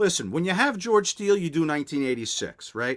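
A man speaks against a quiet background. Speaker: podcast guest. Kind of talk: storytelling interview answer. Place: home room.

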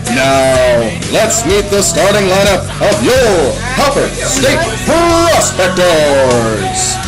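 Loud music plays in the background. Over it, a man speaks at a very slow pace. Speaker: stadium PA announcer. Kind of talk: baseball stadium public address announcement. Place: booth. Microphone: handheld.

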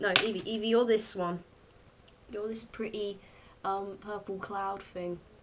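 A woman speaks with a southern English accent at a fairly slow pace. Her medium-pitched voice stays flat and monotone. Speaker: vlogger. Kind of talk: casual chat. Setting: home video recording. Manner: chatty, rambling.

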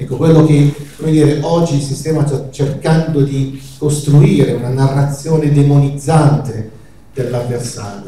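With audible room echo and light background noise, the speech comes at a fairly slow pace with fairly even intonation. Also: man. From northern Italy, Lombardy. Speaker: doctor. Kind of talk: public lecture. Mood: earnest, argumentative. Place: hall.

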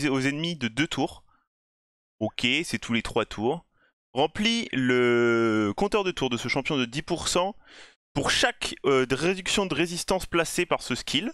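Very slowly and with very wide pitch swings, a man with an English accent speaks in a bright, sharp tone, the sound dry and close with no echo over a quiet background. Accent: self-described bad English. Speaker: gaming YouTuber. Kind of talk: game review commentary. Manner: casual, conversational.

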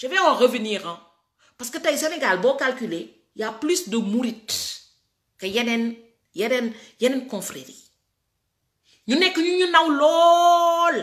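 Very slow speech from a woman, with long, frequent pauses and very wide pitch swings, against a quiet background. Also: big swings in loudness. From Senegal. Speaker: political commentator. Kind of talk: political rant. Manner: animated. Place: home room. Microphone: phone near.

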